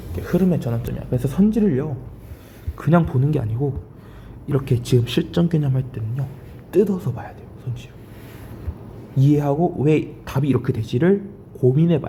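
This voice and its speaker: Lively intonation and big swings in loudness fill a man's fairly high-pitched, fairly quick speech. Long, frequent pauses break it up, with audible room echo around him. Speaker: Korean college entrance English teacher. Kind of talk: lecture. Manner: speeding up.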